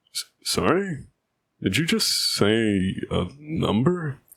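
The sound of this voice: A man uses a put-on character voice at a medium pitch with a fairly bright tone, a slightly husky edge and vocal fry. He speaks at a slow pace with big pitch swings.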